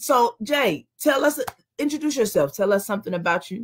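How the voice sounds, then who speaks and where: A somewhat breathy woman's voice, fairly high, with very wide pitch swings. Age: 40s. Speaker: talk show host. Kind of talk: casual chat.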